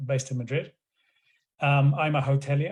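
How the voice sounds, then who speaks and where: Monotone and flat in intonation, a man speaks at a fairly high pitch with a dark, mellow, somewhat breathy tone. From Scotland. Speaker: hotelier and revenue manager. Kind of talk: online panel discussion.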